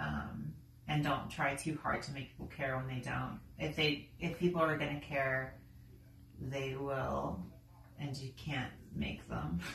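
Vocal fry marks this fairly slow delivery with ordinary pitch variation. Audible room echo and light background noise surround it. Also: woman, very deep, low pitch for a woman. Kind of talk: casual vlog chat. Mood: relaxed, reflective. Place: home room. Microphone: camera far.

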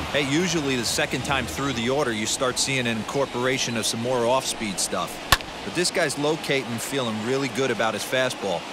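Over music in the background, a man speaks fairly quickly at a medium pitch with ordinary pitch variation. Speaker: baseball color analyst. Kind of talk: video game baseball color commentary. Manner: conversational, analytical, former-player tone.

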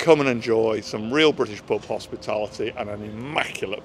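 With noticeable background noise behind him, a man of medium pitch speaks at a moderate pace with lively intonation. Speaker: pub owner. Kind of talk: interview on camera. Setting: outside a pub.

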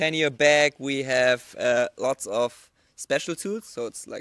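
A man speaks with fairly even intonation. The sound is dry with no echo. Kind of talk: casual vlog chat, tutorial. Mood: relaxed, amused. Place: garden. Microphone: handheld.

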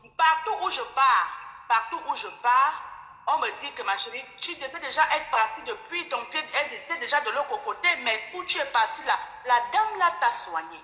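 Against a quiet background with audible room echo, a woman speaks at a high pitch and a moderate pace, her pitch swinging very widely. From Cameroon. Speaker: caller. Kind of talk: testimony. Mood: reflective, sometimes amused. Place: home room. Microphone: phone near.

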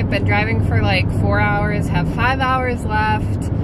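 Loud background noise behind a woman speaking at a very slow pace, the sound dry with no echo. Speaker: vlogger. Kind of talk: casual vlog chat. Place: car. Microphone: phone near.

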